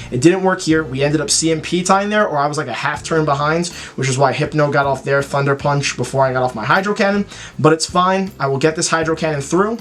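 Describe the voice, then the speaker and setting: Speaking at a very fast pace, a man is heard over noticeable background noise. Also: fairly high pitch for a man, ordinary pitch variation. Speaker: gaming YouTuber. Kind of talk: gameplay commentary. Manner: animated; stuttering at times.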